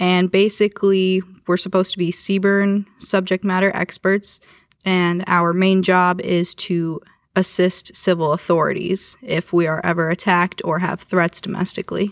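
At a moderate pace, a woman with a medium pitch speaks in a monotone, flat intonation and very even loudness, with a dry, close sound, no echo and a very clean recording over a silent background. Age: 20s. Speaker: air national guard airman. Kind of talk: interview.

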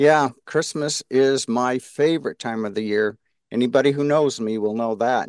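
A man with a plain, everyday voice speaks at medium pitch and a moderate pace with ordinary pitch variation, in a dry, close sound with no echo over a quiet background. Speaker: podcast co-host, organization president.

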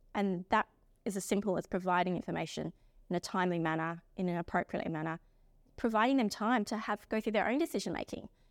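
On a very clean recording with a silent background, a woman speaks very fast with an Australian accent. Her medium pitch shows ordinary variation in a dry, close sound with no echo. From South Australia. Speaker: lawyer. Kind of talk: interview. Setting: recording on location.

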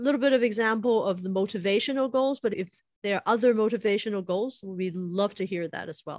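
With a plain, everyday voice, a woman speaks at a fairly high pitch with ordinary pitch variation. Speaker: podcast co-host. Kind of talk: podcast interview.

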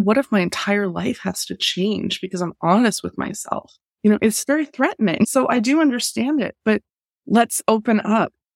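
A woman's unremarkable speaking voice at a medium pitch, with lively intonation at a moderate pace, in a dry, close sound with no echo. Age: 40s. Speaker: cultural anthropologist and business mentor. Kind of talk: interview conversation.

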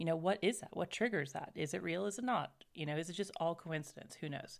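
With vocal fry and a fairly quick pace, a woman talks in a fairly low pitch. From US South, raised in several places. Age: 30s. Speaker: podcast co-host. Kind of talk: casual chat.

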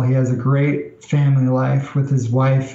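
With an American accent, a man speaks at a medium pitch and a fairly slow pace. His intonation is monotone and flat, with audible room echo. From New York. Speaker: executive assistant. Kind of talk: interview.

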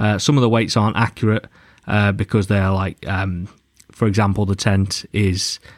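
In a plain, everyday voice, a man speaks at a moderate pace with a fairly low pitch and fairly even intonation, the sound dry and close with no echo, the recording very clean and the background silent. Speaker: podcast host. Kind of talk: interview chat.

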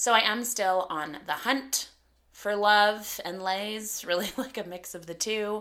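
An ordinary speaking voice in a Canadian accent, fairly slow in pace, with ordinary pitch variation and big swings in loudness. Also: woman, medium pitch for a woman. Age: 30s. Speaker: podcast host and comedian. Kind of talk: casual solo podcast monologue.

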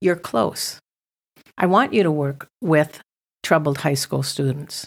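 On a very clean recording with a silent background, a woman with a very deep, low pitch speaks at a fairly slow pace in an animated tone. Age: 60s. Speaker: missions ministry founder. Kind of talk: testimony.

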